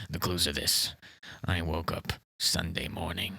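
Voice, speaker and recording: Using a put-on character voice, a man speaks in a raspy, very deep, low register with monotone, flat intonation at a moderate pace. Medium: comedy sketch. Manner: rambling, defensive, repeats "listen" and "okay"; confidently absurd.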